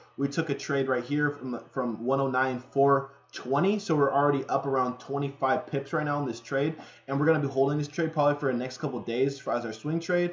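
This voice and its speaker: A fairly quick pace with fairly even intonation. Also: man, fairly high pitch for a man. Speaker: forex trading analyst. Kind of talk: livestream market analysis. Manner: fast; casual, filler-heavy.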